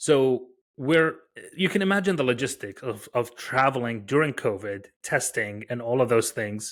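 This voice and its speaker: At a moderate pace, a man with an American accent speaks at a medium pitch with lively intonation in a very clean recording with a silent background. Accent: very faint foreign accent, American-sounding. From Iraq, Baghdad. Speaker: tech founder and researcher. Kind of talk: podcast interview. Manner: hesitant, many fillers.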